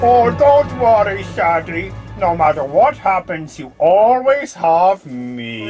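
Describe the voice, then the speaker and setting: Over clear music in the background, a put-on character voice at a middle pitch speaks at a fairly slow pace. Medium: audio drama. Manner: smug, teasing.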